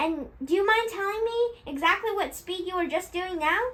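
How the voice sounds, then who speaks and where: In a put-on character voice, a woman speaks at a moderate pace with a squeaky, extremely high pitch. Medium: read story. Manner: mocking, sharp, bullying.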